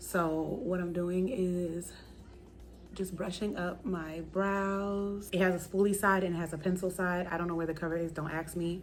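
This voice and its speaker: A woman speaks quietly at a moderate pace in a fairly low, monotone, flat voice, with audible room echo and music in the background. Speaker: beauty vlogger. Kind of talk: makeup tutorial. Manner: lowered voice, quiet.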